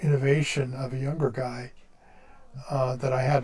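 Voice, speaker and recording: Somewhat breathy, monotone, flat delivery with audible room echo. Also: man. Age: 60s. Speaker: engineer. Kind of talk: casual chat. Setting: live stream.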